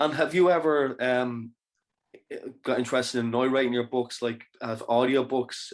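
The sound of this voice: Medium pitch from a man, the intonation fairly even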